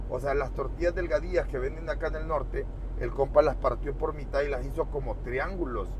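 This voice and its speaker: A man speaks at a fairly quick pace in an extremely high pitch, with a dry sound with no echo and noticeable background noise. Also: ordinary pitch variation. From rural Mexico. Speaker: truck driver vlogger. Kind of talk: casual vlog narration. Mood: relaxed, joking. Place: car.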